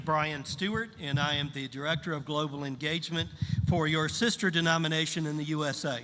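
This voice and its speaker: With audible room echo and noticeable background noise, a man talks at a moderate pace, fairly high in pitch and fairly even in intonation. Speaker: pastor. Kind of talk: sermon. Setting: church service with interpreter. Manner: short phrases paused for interpreter.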